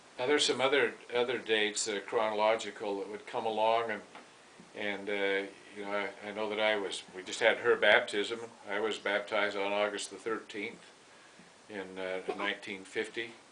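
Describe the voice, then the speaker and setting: With an American accent, a man talks in a fairly low, monotone voice with flat intonation over noticeable background noise. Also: moderate pace. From Utah, Heber City. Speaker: grandfather telling family stories. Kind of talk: casual storytelling. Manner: halting.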